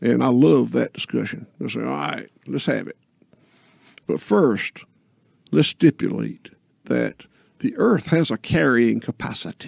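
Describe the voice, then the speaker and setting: In a dry sound with no echo and a quiet background, a man with a Southern US accent talks at a fairly slow pace, with big swings in loudness and long, frequent pauses. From US South. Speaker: regenerative farmer; podcast guest. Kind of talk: podcast conversation. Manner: slow, deliberate. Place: studio. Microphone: studio mic.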